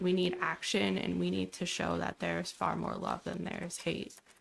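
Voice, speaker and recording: The woman's voice is shaky. She speaks at a moderate pace. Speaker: teacher, public commenter. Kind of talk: public comment at council meeting. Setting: council meeting room.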